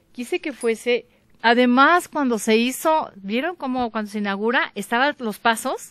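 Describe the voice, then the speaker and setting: The recording is dry with no echo and a quiet background, as a woman with a high pitch speaks at a moderate pace with ordinary pitch variation. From Mexico, Michoacán. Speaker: visual artist; interviewee. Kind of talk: interview testimony. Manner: halting. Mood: warm, enthusiastic. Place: garden. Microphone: handheld.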